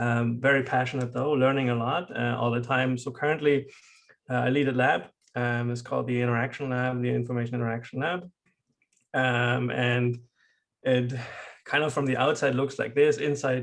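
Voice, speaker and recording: A man talks in monotone, flat intonation with a German accent. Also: medium pitch for a man, moderate pace. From Germany. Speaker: professor. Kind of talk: lecture. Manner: halting.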